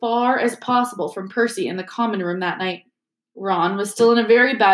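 Someone does plain reading aloud. Behind the voice, the background stays quiet.

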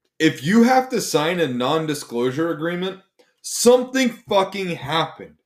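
This man's voice sits high for a man and moves at a moderate pace. His pitch swings very widely. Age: 30s. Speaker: podcast host. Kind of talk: casual chat.

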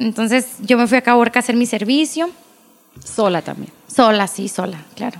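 With an unremarkable speaking voice, a woman talks at a moderate pace, fairly high in pitch with ordinary pitch variation. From Agua Prieta, Sonora, northern Mexico. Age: 20s. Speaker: pediatric dentist. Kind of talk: casual interview chat.

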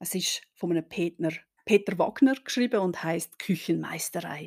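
The tone is dark and mellow. The recording is very clean and dry, close with no echo, over a silent background. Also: woman. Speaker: historian podcast host. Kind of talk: history podcast narration.

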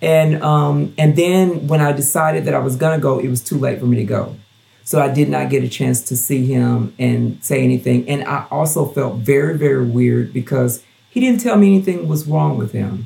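The speaker talks at a moderate pace with a Southern US accent. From US South, Gulfport, Mississippi. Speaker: drag performer and show director. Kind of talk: casual interview, personal story.

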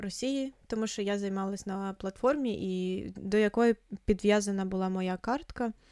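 A woman's dark, mellow tone at a medium pitch, fairly slow pace and fairly even intonation, on a very clean recording with a silent background. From eastern Ukraine, Luhansk. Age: 20s. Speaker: podcast co-host. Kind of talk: casual chat. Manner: halting.

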